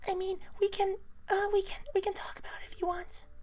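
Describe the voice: A squeaky, soft-spoken put-on character voice that sounds female, extremely high in pitch and fairly quick.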